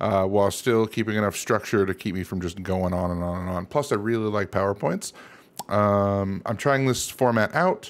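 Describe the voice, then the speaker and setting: A man speaks at a moderate pace and a fairly low pitch with ordinary pitch variation. He has a plain, everyday voice. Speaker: channel creator. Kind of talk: casual vlog chat over slides. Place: home room. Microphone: studio mic.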